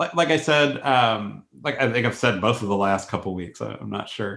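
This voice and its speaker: A man's voice at a moderate pace, lively intonation and vocal fry, with hardly any pauses. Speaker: professor and podcast co-host. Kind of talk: casual academic conversation and interview.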